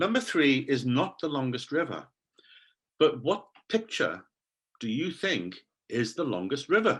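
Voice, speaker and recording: Speech comes at a fairly slow pace with long, frequent pauses. The voice has vocal fry and very wide pitch swings. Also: man, fairly high pitch for a man. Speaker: English teacher trainer. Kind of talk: online conference talk. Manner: animated.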